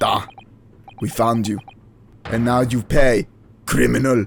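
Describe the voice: A man does a put-on character voice with a Russian accent, raspy and medium in pitch. He speaks at a fairly slow pace.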